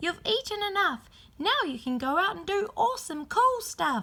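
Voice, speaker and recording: A woman's squeaky, extremely high put-on character voice at a moderate pace, with very wide pitch swings. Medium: read story.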